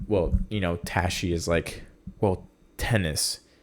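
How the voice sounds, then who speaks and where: A man with a non-native accent speaks at a very slow pace. His pitch is very deep and low, with ordinary variation. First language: not English. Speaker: podcast host. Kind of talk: casual solo podcast chat.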